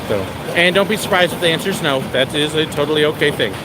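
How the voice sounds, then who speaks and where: A man speaks in a raised, projected voice at a very fast pace. Background noise is noticeable. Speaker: theme park vlogger, former park worker. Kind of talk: live stream walking tour. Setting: outdoors at an amusement park. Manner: animated.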